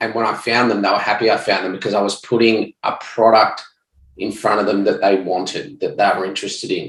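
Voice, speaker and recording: Here is a man with an Australian accent. He talks at a fairly quick pace. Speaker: ecommerce entrepreneur, former police detective. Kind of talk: podcast interview.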